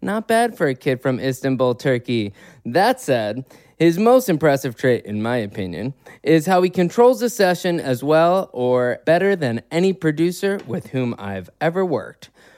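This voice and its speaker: A man with an American accent, fairly high-pitched, with very wide pitch swings and a moderate pace, on a very clean recording with a silent background. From US Midwest, Chicago. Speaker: podcast host and songwriter. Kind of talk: casual interview chat.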